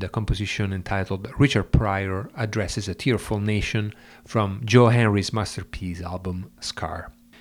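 An unremarkable speaking voice belongs to a man with a fairly low pitch, ordinary pitch variation and a moderate pace, heard in a very clean recording with a silent background. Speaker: radio host. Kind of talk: radio show presenting, scripted-sounding introductions of music tracks. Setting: studio. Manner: formal, informative, measured.

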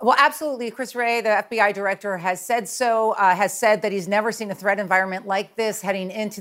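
A woman speaks in a normal speaking voice at a medium pitch, with ordinary pitch variation and a fairly quick pace. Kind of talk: TV news interview.

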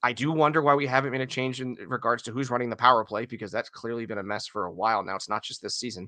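A man with a bright, sharp tone talks at a very fast pace with hardly any pauses. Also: medium pitch for a man, ordinary pitch variation. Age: 30s. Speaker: hockey podcaster. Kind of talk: casual chat.

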